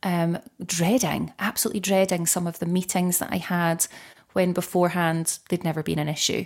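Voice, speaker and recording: A woman with an ordinary speaking voice talks at a moderate pace and medium pitch. The recording is very clean with a silent background. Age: 30s. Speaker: menopause coach. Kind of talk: interview conversation.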